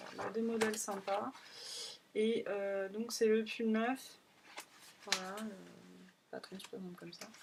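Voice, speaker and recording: Using a put-on character voice, a woman mumbles at a moderate pace and medium pitch, leaving long, frequent pauses. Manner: mumbling.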